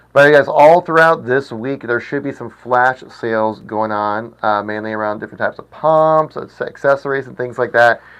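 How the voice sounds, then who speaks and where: Here is a man with an ordinary speaking voice, in a medium pitch with ordinary pitch variation. He takes hardly any pauses. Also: moderate pace, big swings in loudness. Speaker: livestream host for an aquarium shop. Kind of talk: live stream chat reading comments. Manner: casual, chatty with filler words.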